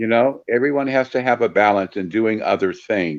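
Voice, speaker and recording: This is a normal speaking voice with lively intonation. The pace is moderate. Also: man. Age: 60s. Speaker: paranormal investigator and volunteer. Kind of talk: podcast interview.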